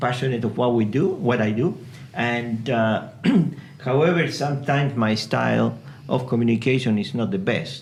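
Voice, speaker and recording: Over noticeable background noise and audible room echo, a man with a medium pitch speaks at a fairly slow pace. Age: 60s. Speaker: project manager, podcast guest. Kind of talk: casual chat. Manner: halting, many fillers.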